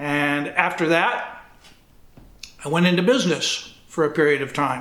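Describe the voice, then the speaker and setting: A man with a Midwestern US accent talks at a fairly slow pace, his pitch fairly high and its variation ordinary. Audible room echo surrounds the voice. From northern Indiana. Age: 70s. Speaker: retired athletic director. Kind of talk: oral history interview. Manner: halting, with fillers.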